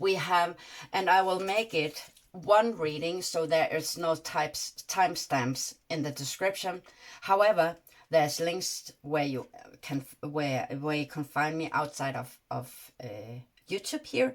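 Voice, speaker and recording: In a Danish accent, a woman speaks at a very deep, low pitch and fairly slow pace with ordinary pitch variation. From Denmark. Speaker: tarot reader. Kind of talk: tarot reading monologue. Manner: halting, many fillers.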